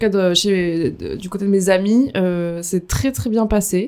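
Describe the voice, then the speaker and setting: With fairly even intonation, a woman talks in a medium pitch. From France, Dordogne. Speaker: recent convert. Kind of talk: testimony. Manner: halting.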